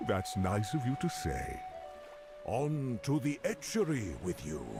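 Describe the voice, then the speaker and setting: Loud music plays behind a man doing a resonant, put-on character voice. He speaks at a fairly slow pace. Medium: game stream. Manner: friendly, rambling.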